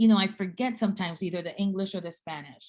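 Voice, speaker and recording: A woman's medium-pitched voice with an American accent, an unremarkable speaking voice, fairly even in intonation, over a quiet background. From Guatemala and South Texas (Rio Grande Valley). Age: 50s. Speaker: seminary dean and speaker. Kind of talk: talk in a speaker series.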